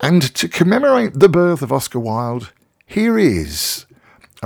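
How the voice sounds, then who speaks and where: Lively intonation colors a plain, everyday voice moving at a fairly slow pace. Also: man. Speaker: radio host. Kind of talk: casual radio presenting. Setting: radio studio. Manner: chatty, rambling, informal.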